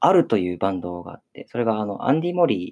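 The intonation is lively, heard in a dry, close recording free of echo. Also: man. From Okinawa, Japan. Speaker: theater troupe leader and playwright-director. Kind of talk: casual radio chat. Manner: halting, many fillers.

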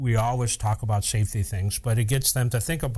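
His voice is somewhat breathy, with a dark, mellow tone. The man sits at medium pitch with ordinary pitch variation. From upstate New York. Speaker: fire captain and podcast host. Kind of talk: casual chat.

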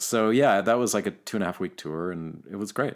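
A man talks at a moderate pace in a Canadian accent. His pitch variation is ordinary. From Canada, Vancouver. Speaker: slide guitarist and musician. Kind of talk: casual interview.

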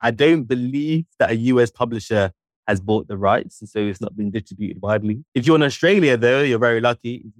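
In a London accent, a man speaks at a fairly quick pace with lively intonation. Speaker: journalist and author. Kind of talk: interview.

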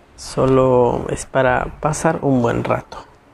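A man's voice with noticeable background noise. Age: 20s. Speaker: podcast host. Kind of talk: solo monologue on conspiracy theories. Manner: halting, self-correcting.

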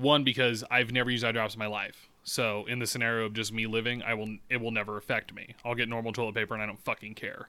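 Talking at a very fast pace, a man with a medium pitch and a bright, sharp tone keeps a monotone, flat intonation on a very clean recording with a silent background. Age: 20s. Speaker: podcast co-host. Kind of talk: casual chat. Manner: profane, candid.

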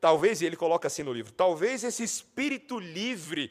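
On a very clean recording with a silent background, a man speaks at a moderate pace. His pitch swings very widely. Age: 30s. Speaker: pastor. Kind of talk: sermon.

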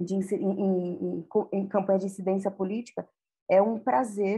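A woman speaks at a fairly slow pace in a medium pitch with ordinary pitch variation. Her tone is dark and mellow, and somewhat breathy. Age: 40s. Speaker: communications specialist. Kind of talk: podcast interview.

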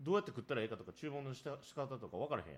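A man speaks at a medium pitch with a slightly husky edge. His pace is very fast.

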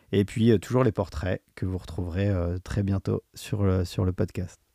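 Fairly low in pitch, a man speaks at a fairly slow pace with a dark, mellow tone and fairly even intonation. The recording is very clean, with a silent background and a dry, close sound with no echo. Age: 40s. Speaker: podcast host, amateur runner. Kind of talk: solo podcast monologue. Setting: studio microphone. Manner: hesitant, many fillers.

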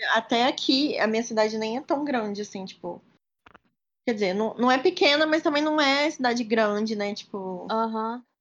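In a normal speaking voice, a woman talks at a moderate pace and a fairly high pitch with ordinary pitch variation. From Minas Gerais, Brazil (Juiz de Fora). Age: 20s. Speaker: medical student. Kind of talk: casual chat.

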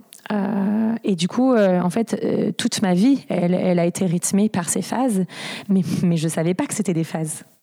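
A woman at a fairly slow pace, medium in pitch with ordinary variation, over noticeable background noise. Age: 30s. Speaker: interviewee sharing bipolar experience. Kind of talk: personal testimony. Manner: halting, repeated stutter-like restarts.

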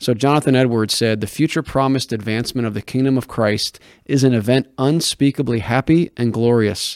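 In a plain, everyday voice at medium pitch, a man talks with fairly even intonation and hardly any pauses, the sound dry and close with no echo on a very clean recording with a silent background. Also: fairly quick pace. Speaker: podcast host and editor. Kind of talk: casual interview discussion on theology.

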